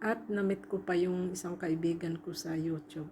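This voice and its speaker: A woman's somewhat breathy voice, dark and mellow in tone, at a fairly slow pace. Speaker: overseas domestic worker and vlogger. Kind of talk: travel vlog voice-over. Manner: casual, halting.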